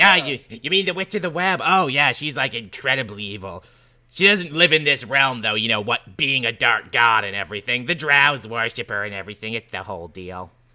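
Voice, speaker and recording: Putting on a character voice, a man speaks at a fairly quick pace. His pitch sits in the medium range. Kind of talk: laid-back slacker talk. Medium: actual play. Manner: casual, rambling, filler-heavy.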